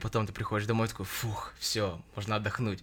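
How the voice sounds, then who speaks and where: On a very clean recording with a silent background, a man talks at a medium pitch in a bright, sharp tone. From Russia. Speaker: podcast host. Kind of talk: casual chat.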